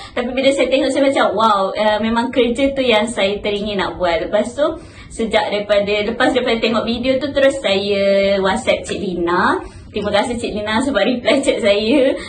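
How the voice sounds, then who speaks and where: Against noticeable background noise and audible room echo, a woman speaks at a moderate pace in a fairly high pitch with ordinary pitch variation. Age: 20s. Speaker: university intern. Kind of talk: casual interview.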